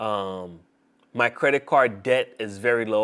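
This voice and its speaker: A male voice of medium pitch comes across on a very clean recording where the background is silent. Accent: non-native. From grew up in another country, immigrant. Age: 20s. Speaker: streamer. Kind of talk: casual livestream monologue. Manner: halting, repeats words.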